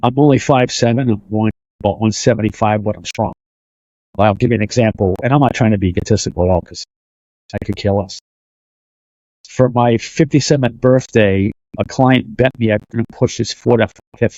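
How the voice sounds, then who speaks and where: With a Boston accent, a man talks at a fairly quick pace in a medium pitch with ordinary pitch variation, leaving long, frequent pauses. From Boston, Massachusetts. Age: 50s. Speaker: fitness and martial arts coach. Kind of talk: casual interview chat.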